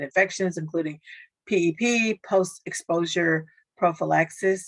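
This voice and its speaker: A woman with a fairly low pitch and an ordinary speaking voice talks at a moderate pace with fairly even intonation in a very clean recording with a silent background. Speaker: social worker. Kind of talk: training presentation; Q&A discussion.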